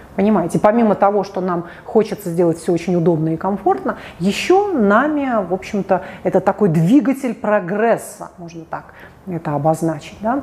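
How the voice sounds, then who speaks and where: Against noticeable background noise, a woman at a medium pitch speaks in an animated tone at a moderate pace with ordinary pitch variation. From Russia, St Petersburg. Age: 40s. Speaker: psychologist. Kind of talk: video monologue.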